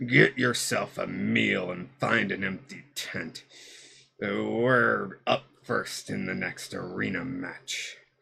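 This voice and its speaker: A put-on character voice, gravelly and raspy. It moves at a very slow pace. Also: man, very deep, low pitch for a man. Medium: solo performance. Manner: curt, grim.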